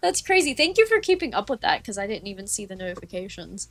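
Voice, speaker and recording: A woman at a very fast pace with big swings in loudness. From Appalachia.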